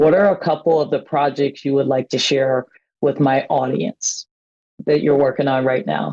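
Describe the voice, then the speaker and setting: Recorded dry and close with no echo, a woman speaks at a moderate pace in a very deep, low voice with a dark, mellow tone. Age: 60s. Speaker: pastor and podcast host. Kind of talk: interview.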